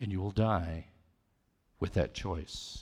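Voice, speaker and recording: A man's very deep, low voice at a very slow pace, with ordinary pitch variation and a somewhat breathy quality, on a very clean recording with a silent background. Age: 60s. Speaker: lay preacher. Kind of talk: sermon. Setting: church with congregation.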